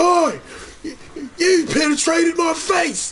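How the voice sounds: A man puts on a character voice with a British accent, speaking at a fairly slow pace in an extremely high, guttural pitch over clear background noise.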